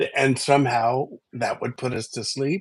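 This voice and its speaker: Somewhat breathy, a man at medium pitch talks at a fairly slow pace. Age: 60s. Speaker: livestream co-host. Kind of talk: casual chat. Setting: livestream. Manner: halting.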